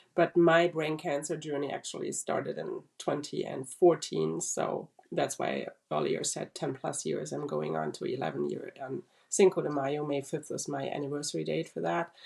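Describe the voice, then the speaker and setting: Her pace is moderate and even. The woman has a German accent. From Germany. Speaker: brain cancer survivor. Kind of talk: interview testimony.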